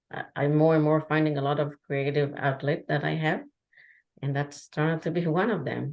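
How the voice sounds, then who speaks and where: Against a quiet background, a woman with a non-native accent speaks at a very deep, low pitch. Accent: foreign. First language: Hebrew. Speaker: traveler and artist. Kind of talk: podcast interview. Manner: halting.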